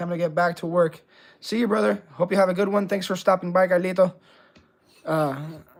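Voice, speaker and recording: Talking at a fairly quick pace broken by long, frequent pauses, a man with a slight Puerto Rican accent uses a high pitch and ordinary pitch variation. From Puerto Rico. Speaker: razor honing livestreamer. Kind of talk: livestream tutorial chat. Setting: live stream. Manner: casual, conversational.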